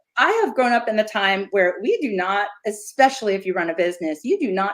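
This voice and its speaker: A woman's fairly quick speech in an ordinary speaking voice, medium in pitch with ordinary pitch variation. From Philadelphia, US. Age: 50s. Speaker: yarn dyer, former teacher. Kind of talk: casual chat.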